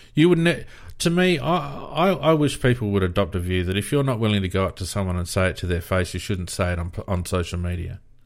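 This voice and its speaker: Pitch swings very widely as a man with an Australian accent talks at a fairly quick pace. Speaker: AFL fan podcast host. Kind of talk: casual sports chat. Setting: live stream with online audience.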